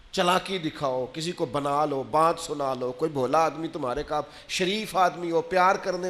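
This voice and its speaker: A man with an ordinary speaking voice, fairly high in pitch, with lively intonation. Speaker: Islamic preacher giving a Friday sermon. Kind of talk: religious sermon, emotional delivery to an audience.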